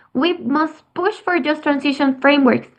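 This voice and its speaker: A woman with a Spanish accent, high-pitched, with ordinary pitch variation, at a moderate pace. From Mexico. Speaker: youth climate advocate, biotechnology engineer. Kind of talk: presentation. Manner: halting.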